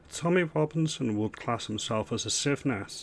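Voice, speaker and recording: A man with a northern English accent and ordinary pitch variation. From northern England. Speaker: political commentary youtuber. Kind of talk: reaction commentary. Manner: animated.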